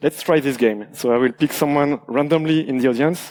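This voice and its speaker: The sound is dry and close, with no echo. A man with a slight French accent speaks at a moderate pace, fairly high in pitch with ordinary pitch variation. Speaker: security researcher, conference speaker. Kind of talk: conference talk. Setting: stage with audience. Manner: halting, many fillers.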